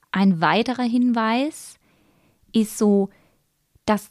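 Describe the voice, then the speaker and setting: Very slowly, a woman speaks in a dry, close sound with no echo on a very clean recording with a silent background. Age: 30s. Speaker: sex educator and podcast host. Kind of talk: educational podcast monologue.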